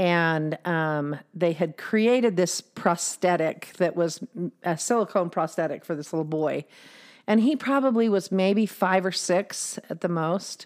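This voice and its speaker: A woman speaks in a plain, everyday voice at a fairly low pitch and a fairly slow pace, with ordinary pitch variation, on a very clean recording with a silent background. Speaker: podcast host. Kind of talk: casual chat. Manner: laughs often.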